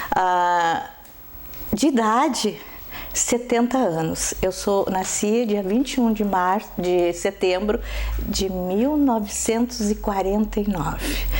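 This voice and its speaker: A woman speaks at a very slow pace with medium pitch and ordinary pitch variation. Her loudness stays very even over noticeable background noise. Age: 70s. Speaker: school educator and supervisor. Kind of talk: interview.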